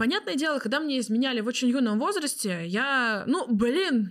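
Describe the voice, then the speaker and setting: Pitched high for a woman, her voice swings very widely in pitch as she talks at a moderate pace. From Tatarstan, Russia. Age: 20s. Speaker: tarot reader. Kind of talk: casual chat.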